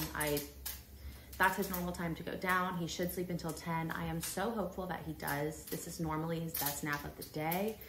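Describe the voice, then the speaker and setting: Over noticeable background noise and audible room echo, a woman speaks at a moderate pace in a fairly low pitch with fairly even intonation. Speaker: lifestyle vlogger and new mom. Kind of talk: casual vlog chat.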